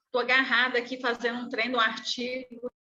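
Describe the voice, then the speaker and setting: A woman speaks in a high pitch. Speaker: graduate student. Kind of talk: casual chat.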